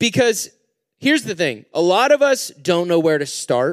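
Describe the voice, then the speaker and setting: The pitch swings very widely in a dry, close sound with no echo. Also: man. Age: 20s. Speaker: youth pastor. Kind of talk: sermon. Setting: stage with audience. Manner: casual, animated.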